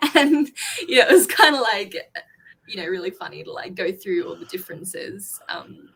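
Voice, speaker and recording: A woman speaks with very wide swings in pitch and big jumps in loudness. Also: fairly high pitch for a woman, moderate pace. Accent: South Australian. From South Australia, Adelaide. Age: 20s. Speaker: author. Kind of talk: casual chat.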